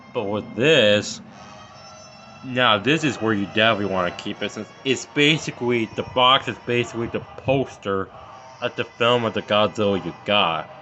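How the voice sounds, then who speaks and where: Medium in pitch with ordinary variation, a man speaks at a moderate pace. Noticeable background noise is present. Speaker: toy reviewer. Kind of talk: product review video.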